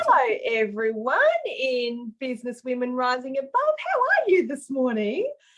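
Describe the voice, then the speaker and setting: A woman talks at a moderate pace in an upbeat tone. Noticeable background noise runs underneath. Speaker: business coach and livestream host. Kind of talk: casual livestream interview host.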